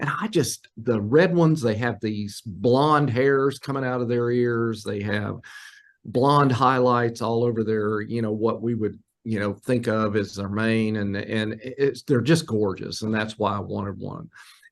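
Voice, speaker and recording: At a fairly slow pace, a man speaks in an ordinary speaking voice of medium pitch with ordinary pitch variation. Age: 60s. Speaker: wildlife biologist. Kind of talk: casual interview. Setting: remote call from an office.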